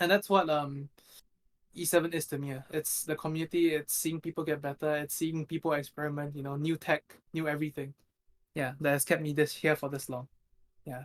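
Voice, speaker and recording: The man's voice is fairly high in pitch, with monotone, flat intonation. He talks at a fairly quick pace. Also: dry, close sound with no echo. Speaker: competitive mobile game player. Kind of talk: casual chat. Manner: flat, not very expressive; hesitant, many fillers.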